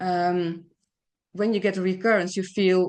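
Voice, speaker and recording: Here is a woman with a normal speaking voice at medium pitch. Her intonation is fairly even, over a quiet background. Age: 60s. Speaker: patient advocate, cancer survivor. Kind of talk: testimony.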